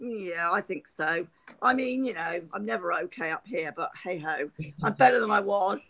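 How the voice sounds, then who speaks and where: A woman of medium pitch uses very wide pitch swings and vocal fry, speaking at a moderate pace. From Hampshire, southern England. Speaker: guest. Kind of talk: casual chat.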